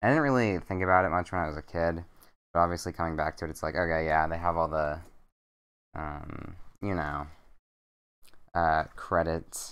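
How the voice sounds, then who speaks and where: Long, frequent pauses break up speech delivered at a moderate pace with fairly even intonation over a quiet background. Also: man, very deep, low pitch for a man. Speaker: streamer. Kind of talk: casual chat. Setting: bedroom stream setup. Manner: monotone.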